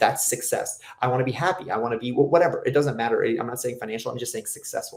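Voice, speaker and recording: A man talks very fast in an animated tone. Noticeable background noise runs under his voice. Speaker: personal trainer. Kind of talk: interview.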